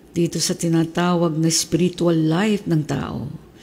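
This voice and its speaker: A woman's somewhat breathy, fairly low voice at a fairly slow pace, flat and monotone in intonation. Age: 70s. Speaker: pastor. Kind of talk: sermon.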